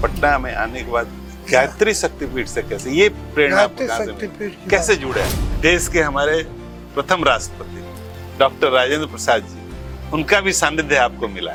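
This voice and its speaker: With music in the background, a man speaks with big swings in loudness. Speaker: podcast host. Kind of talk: podcast interview questions.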